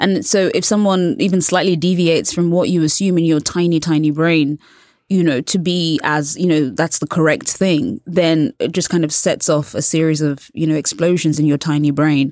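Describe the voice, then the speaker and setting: This voice has a British accent and ordinary pitch variation. The loudness is very even, the pace moderate, with hardly any pauses. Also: woman, fairly low pitch for a woman. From England. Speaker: culture journalist. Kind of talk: casual chat. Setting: studio.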